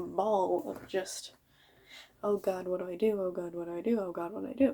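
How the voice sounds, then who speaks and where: A woman mumbles at medium pitch. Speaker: vlogger. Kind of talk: casual monologue. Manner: mumbling.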